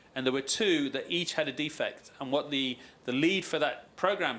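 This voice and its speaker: This man's voice has a bright, sharp tone and a fairly high pitch. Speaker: aerospace supplier quality executive. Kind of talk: conference panel discussion. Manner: fast.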